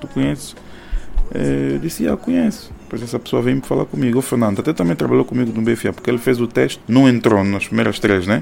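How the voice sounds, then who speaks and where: This man talks at a fairly quick pace with a medium pitch and very wide pitch swings. There is noticeable background noise behind him. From Angola, Soyo. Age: 30s. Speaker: music producer and bank employee. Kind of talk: interview. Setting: at his home. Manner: halting, repeats words.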